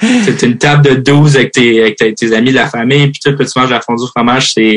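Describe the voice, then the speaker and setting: The man has an unremarkable speaking voice at medium pitch, with ordinary pitch variation and a moderate pace. His sound is dry and close, with no echo. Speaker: hockey player. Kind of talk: interview. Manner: casual, many fillers.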